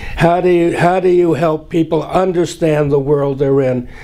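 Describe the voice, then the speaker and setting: Noticeable background noise runs under this clip. A man talks with ordinary pitch variation. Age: 80s+. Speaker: education professor. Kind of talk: interview answer.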